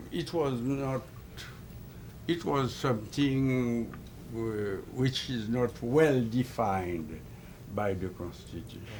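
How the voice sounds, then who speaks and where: Audible room echo surrounds a man speaking at a medium pitch with lively intonation. He talks at a very slow pace with long, frequent pauses. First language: French or Haitian Creole. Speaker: ambassador. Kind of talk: political interview. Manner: halting.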